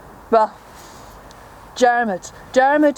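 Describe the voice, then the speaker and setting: Noticeable background noise runs through the clip. The voice has ordinary pitch variation. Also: woman. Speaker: traditional storyteller. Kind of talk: traditional storytelling performance.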